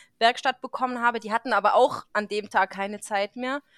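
A woman with a normal speaking voice talks at a fairly high pitch and a moderate pace. Her intonation is fairly even, and the sound is dry and close with no echo. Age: 30s. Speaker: veterinarian, podcast host. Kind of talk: casual chat.

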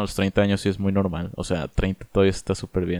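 A plain, everyday voice from a man, fairly low in pitch, at a moderate pace, with a dry, close sound and no echo. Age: 20s. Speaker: podcast co-host. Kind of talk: casual chat. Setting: remote recording from separate homes.

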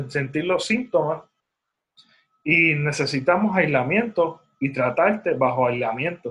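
A man with a Puerto Rican accent speaks at a fairly high pitch with lively intonation. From Puerto Rico. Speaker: podcast host. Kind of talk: solo commentary monologue. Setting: studio. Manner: halting, many fillers.

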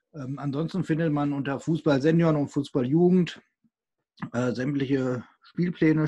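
The man's tone is dark and mellow, and his speed is middling. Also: quiet background. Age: 20s. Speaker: co-host, regional football youth committee PR volunteer. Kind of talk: casual podcast chat.

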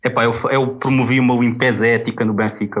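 A man talks at a fairly quick pace, his intonation monotone and flat. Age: 30s. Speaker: football fan guest. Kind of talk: casual chat.

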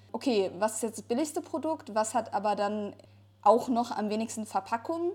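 Somewhat breathy and fairly high-pitched, a woman speaks at a moderate pace with lively intonation. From Ruhr area, Germany. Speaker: podcast co-host. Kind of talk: casual chat.

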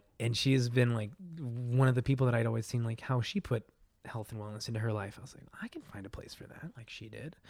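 A man speaks at a very fast pace with an American accent. His voice is somewhat breathy. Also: medium pitch for a man. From Eastern Colorado (rural plains). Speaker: running coach and fitness instructor. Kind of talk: casual chat. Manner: animated, energetic; frequent laughter.

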